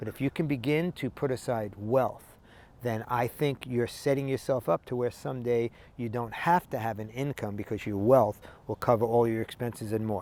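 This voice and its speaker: At a fairly quick pace, a man uses an ordinary speaking voice at a medium pitch, with ordinary pitch variation, in a dry, close sound with no echo. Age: 60s. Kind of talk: motivational talk to camera.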